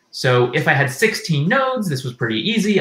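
A bright, sharp tone at a moderate pace, with audible room echo. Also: man. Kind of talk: lecture. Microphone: headset.

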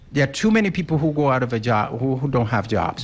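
A man's somewhat breathy voice, its pitch swinging very widely. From West Africa. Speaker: political candidate. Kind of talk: political debate. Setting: stage with audience.

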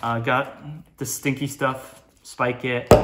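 A man speaks slowly at a medium pitch with little pitch movement. His tone is bright and sharp, and room echo can be heard.

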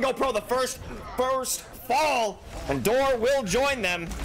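Over noticeable background noise, a man talks in an extremely high pitch. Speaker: esports caster. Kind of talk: esports play-by-play commentary. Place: studio.

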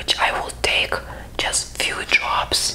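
The voice is a woman whispering. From Lithuania. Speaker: skincare creator. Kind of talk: ASMR skincare talk to camera. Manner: soft-spoken. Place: home room. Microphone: lapel.

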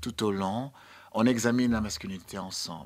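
Against a quiet background, a man with a fairly low pitch speaks at a fairly slow pace and with fairly even intonation. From Sierra Leone. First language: English (speaking French). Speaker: dancer and choreographer; guest. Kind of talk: radio interview. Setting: radio studio. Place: studio. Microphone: studio mic.

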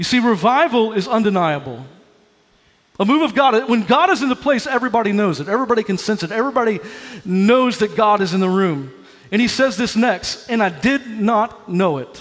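A man speaks at a fairly quick pace with lively intonation and an animated, energetic tone over a quiet background. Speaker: pastor. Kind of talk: sermon. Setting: church with live congregation. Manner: animated, exhortative, energetic preaching with crowd prompts; urgent, fervent, building to an altar call. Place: church. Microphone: headset.

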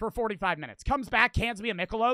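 Bright and sharp in tone, a man with a high pitch projects his raised voice animatedly, the sound dry with no echo and the background quiet. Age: 20s. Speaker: streamer. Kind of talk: casual storytelling monologue. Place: home room. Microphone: studio mic.

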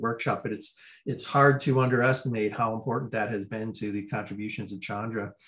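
Somewhat breathy, a man talks at a fairly quick pace with ordinary pitch variation. The background is quiet. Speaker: research center director. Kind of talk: welcome address. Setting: video call. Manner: halting. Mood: appreciative, calm. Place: home room. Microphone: video call.

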